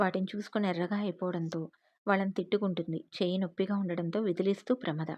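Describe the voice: Intonation stays fairly even throughout this plain reading aloud.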